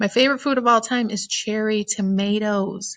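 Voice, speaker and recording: In a dry, close sound with no echo and a quiet background, a woman speaks with an animated tone at a fairly slow pace. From Ohio. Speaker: teacher. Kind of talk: casual self-introduction presentation to students. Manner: chatty, animated.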